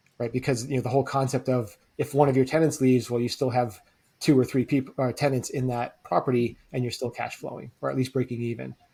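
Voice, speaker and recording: Somewhat breathy and flat, a man's medium-pitched voice rushes along at a very fast pace in a monotone. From US, French-Canadian immigrant family from Quebec. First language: French. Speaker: real estate investor. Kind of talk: podcast interview. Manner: conversational, many fillers.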